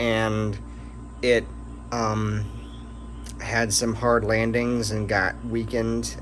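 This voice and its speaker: The recording has audible room echo and noticeable background noise. A man is speaking. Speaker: hobbyist rocket builder. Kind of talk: casual video update. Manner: hesitant with many fillers.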